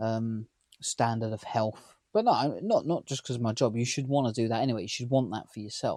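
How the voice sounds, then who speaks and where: A man's dark, mellow voice at a medium pitch, fairly quick in pace, with fairly even intonation. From near London, England. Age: 30s. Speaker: vlogger. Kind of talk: casual vlog talk to camera.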